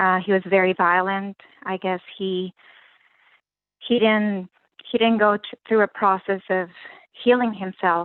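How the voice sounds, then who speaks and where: With long, frequent pauses, a woman speaks at a fairly slow pace in a medium pitch, her intonation monotone and flat. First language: not English. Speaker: caller. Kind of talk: personal testimony. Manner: halting.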